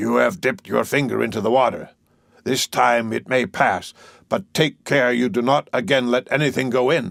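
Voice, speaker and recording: Using a put-on character voice, a man talks at a moderate pace and medium pitch. His loudness stays very even. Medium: read story. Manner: solemn, commanding.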